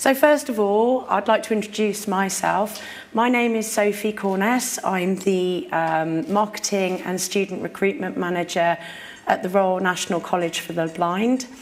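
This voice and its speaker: A woman at a medium pitch, moderate pace and ordinary pitch variation, with audible room echo. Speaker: conference speaker. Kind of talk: conference talk. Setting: stage with audience. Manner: informal.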